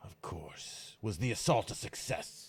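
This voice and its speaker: Using a put-on character voice, a man talks in a raspy tone at a fairly slow pace. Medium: actual play. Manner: curt, questioning.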